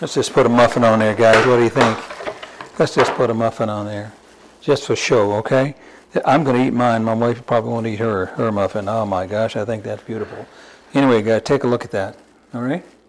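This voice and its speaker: Over noticeable background noise, a man talks at a fairly quick pace, his medium-pitched voice keeping a fairly even intonation. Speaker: home cooking channel host. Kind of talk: cooking tutorial. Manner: casual, halting with repeated words.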